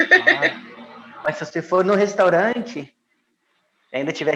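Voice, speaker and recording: A man talks at a very slow pace. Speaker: former expatriate in Italy. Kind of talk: casual interview. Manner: slow, calm, soft-spoken; calm.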